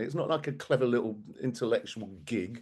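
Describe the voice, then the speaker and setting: A man's voice with vocal fry and lively intonation. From England, Bromley (south-east London). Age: 60s. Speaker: activist speaker. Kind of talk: talk to an audience. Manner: animated.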